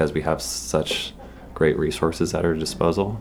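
A man with a very deep, low voice and an American accent speaks over noticeable background noise. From Massachusetts. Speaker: film festival staff. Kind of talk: interview.

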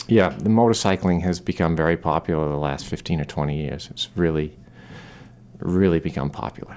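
The speaker is a man with a very deep, low pitch. He talks fairly quickly. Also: ordinary pitch variation. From Maine, Newport. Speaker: motorcycle dealer. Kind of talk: casual interview. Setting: studio.

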